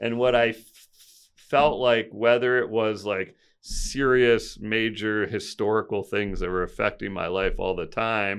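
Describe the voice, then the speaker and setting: A man speaks at a fairly slow pace with fairly even intonation. The background is quiet. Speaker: podcast guest, nervous system coach. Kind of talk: interview conversation.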